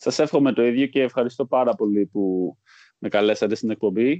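Against a quiet background, a man with a dark, mellow tone speaks at medium pitch and a moderate pace with ordinary pitch variation, the sound dry and close with no echo. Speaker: stock exchange employee. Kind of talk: interview. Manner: halting.

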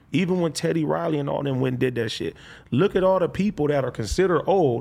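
At a fairly quick pace, a man talks at a fairly high pitch with ordinary pitch variation. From Compton, Los Angeles. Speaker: rapper. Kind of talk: casual interview.

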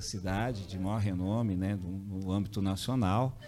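A man's fairly low voice with a dark, mellow tone at a moderate pace. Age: 50s. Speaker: businessman. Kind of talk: interview. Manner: halting.

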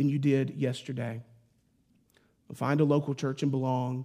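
A man with a fairly high pitch and a dark, mellow tone. The recording is very clean, with a silent background. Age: 30s. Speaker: pastor. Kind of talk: sermon. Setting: church.

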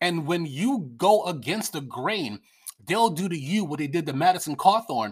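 An animated voice with an American accent at a fairly slow pace, on a very clean recording with a silent background. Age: 50s. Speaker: political commentator. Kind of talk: casual rant. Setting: at home.

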